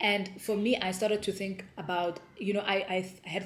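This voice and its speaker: A woman with a South African accent talks at a fairly slow pace. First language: Sepedi. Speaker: homeschooling mom vlogger. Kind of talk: casual vlog talk.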